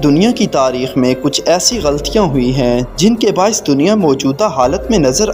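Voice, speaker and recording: The voice makes very wide pitch swings over music in the background. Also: man. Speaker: narrator. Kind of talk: history fact narration.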